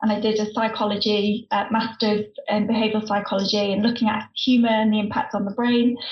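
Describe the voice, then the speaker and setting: A woman with a fairly high pitch speaks at a very fast pace. Her intonation is monotone and flat, over noticeable background noise. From northern England. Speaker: former stand-up comedian, humour consultant. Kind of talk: casual chat.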